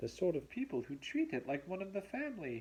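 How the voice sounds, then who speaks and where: In a put-on character voice at a middle pitch, the speaker moves at a fairly quick pace with very wide pitch swings. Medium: read story.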